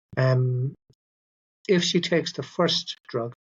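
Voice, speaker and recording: Somewhat breathy, a man with an Irish accent talks at a fairly high pitch with fairly even intonation. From Ireland. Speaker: doctor. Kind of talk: interview. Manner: halting.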